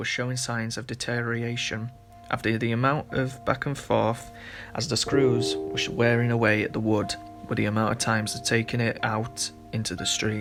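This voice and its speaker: With music in the background, a man speaks at a moderate pace and medium pitch, his loudness swinging widely and his pitch varying in an ordinary way. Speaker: prop maker. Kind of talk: documentary narration. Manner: shaky, nervous.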